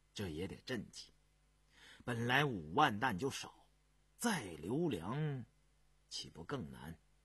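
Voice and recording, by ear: A man puts on a character voice with a husky, rough edge. He speaks at a slow pace with big pitch swings. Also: medium pitch for a man, fairly bright tone.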